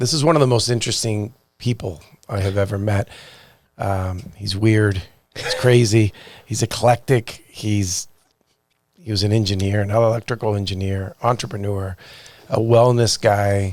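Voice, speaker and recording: A man speaks at a moderate pace in a fairly low pitch, with fairly even intonation. Long, frequent pauses break up his speech. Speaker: podcast host. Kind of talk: podcast intro.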